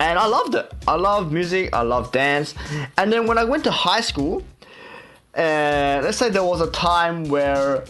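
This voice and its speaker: A man with an Australian accent, high in pitch with lively intonation, at a fairly slow pace, with audible room echo and music in the background. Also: very even loudness. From Australia, Sydney. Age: 20s. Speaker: K-pop idol and radio host. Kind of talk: casual radio show with vlog audio. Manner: casual, many fillers.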